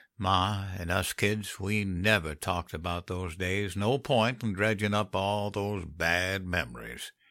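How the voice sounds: A man drawls slowly in a put-on character voice, low-pitched with a bright, sharp tone and ordinary pitch variation. The recording is very clean, with a silent background.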